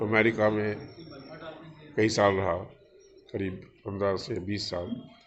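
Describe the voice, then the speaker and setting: A man's fairly low, monotone, flat voice, with audible room echo and noticeable background noise. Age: 70s. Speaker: industrialist and spiritual speaker. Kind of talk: interview.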